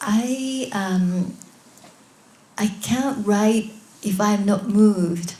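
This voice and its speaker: Over noticeable background noise and audible room echo, a woman with a Japanese accent speaks at a medium pitch and a very slow pace, with fairly even intonation and long, frequent pauses. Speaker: author. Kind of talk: Q&A answers; reading aloud. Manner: halting.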